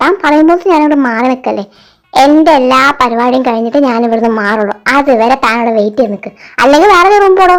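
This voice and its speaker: Over music in the background, a woman puts on a character voice, high-pitched with lively intonation, at a moderate pace. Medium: fan dub. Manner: teasing, bickering.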